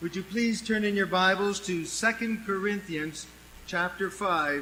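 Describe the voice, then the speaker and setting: Amid audible room echo, a man with a high, raised and projected voice and a bright, sharp tone speaks at a very slow pace with fairly even intonation. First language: English (speaking Spanish). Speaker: preacher. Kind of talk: sermon.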